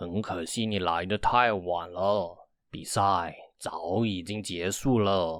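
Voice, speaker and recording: A man's put-on character voice, very deep and low, at a fairly slow pace, in a very clean recording over a silent background. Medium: read story. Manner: solemn, measured.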